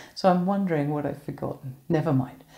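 Against a quiet background, a woman speaks in a somewhat breathy voice with a dark, mellow tone. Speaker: minister leading online worship. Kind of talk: welcome and introduction to a worship service. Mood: warm, cheerful. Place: home room. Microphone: phone near.

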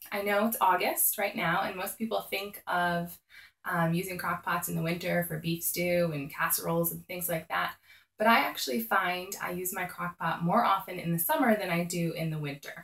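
A woman with a plain, everyday voice, fairly low in pitch, with fairly even intonation. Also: moderate pace. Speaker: mom lifestyle vlogger. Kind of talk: casual vlog tips. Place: home room. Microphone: phone near.

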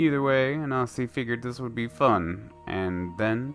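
A man talks with lively intonation. Music can be heard in the background. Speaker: story reader. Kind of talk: read story.

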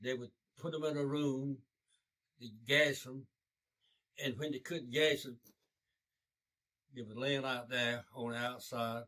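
A man's bright, sharp tone at a fairly slow pace, with long, frequent pauses, fairly even intonation and a quiet background. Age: 80s+; old. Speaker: war veteran. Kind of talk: oral history interview answer. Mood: grave, somber recollection. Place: home room.

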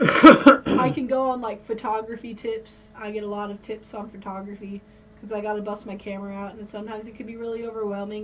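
A woman speaking at a fairly quick pace, with big swings in loudness, fairly even intonation and light background noise. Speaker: podcast host. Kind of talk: casual podcast conversation. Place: home room. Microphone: studio mic.

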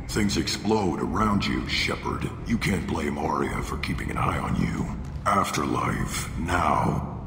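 A put-on character voice at a fairly slow pace, with clear echo and loud background noise. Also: man, very deep, low pitch for a man. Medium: machinima. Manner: curt, commanding.

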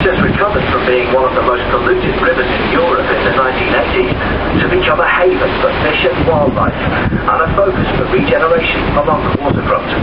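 At a fairly quick pace, a man talks while loud background noise fills the recording. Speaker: ferry tour commentator. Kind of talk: guided tour commentary. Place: boat.

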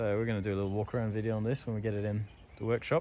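A man with a fairly low pitch speaks over light background noise. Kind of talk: casual vlog chat. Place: street. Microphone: phone near.

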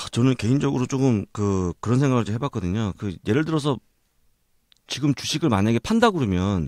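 A man talks at a moderate pace and medium pitch, with very wide swings in his pitch. The recording is very clean, dry and close, with no echo and a silent background. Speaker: podcast host. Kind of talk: casual expert discussion on market selloff. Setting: recording studio.

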